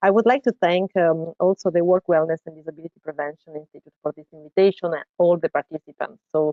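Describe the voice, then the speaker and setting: The speaker talks at a fairly quick pace in an Italian accent. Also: woman. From Italy. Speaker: researcher and professor. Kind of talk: lecture presentation. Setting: online webinar. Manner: halting, with fillers.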